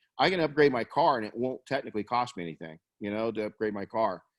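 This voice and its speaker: Talking at a very fast pace, a man with a medium-pitched voice and ordinary pitch variation is heard in a dry, close recording with no echo. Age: 50s. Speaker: webcast host, detailing business coach. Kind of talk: business webcast discussion. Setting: live webcast. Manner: animated.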